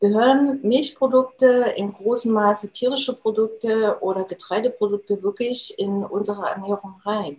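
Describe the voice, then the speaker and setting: A woman with a normal speaking voice talks at a moderate pace, her pitch varying in an ordinary way. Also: fairly high pitch for a woman. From Thuringia, Germany (Jena). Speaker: nutrition expert and trainer. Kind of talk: interview.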